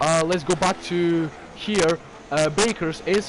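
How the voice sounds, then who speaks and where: A man's high-pitched voice at a fairly slow pace, with ordinary pitch variation and noticeable background noise. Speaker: sim racing commentator. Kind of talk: live commentary. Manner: animated.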